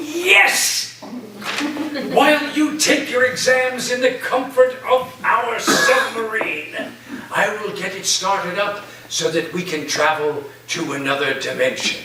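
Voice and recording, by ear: A man does a put-on character voice, high-pitched with a bright, sharp tone and ordinary pitch variation. He talks slowly, and room echo is audible.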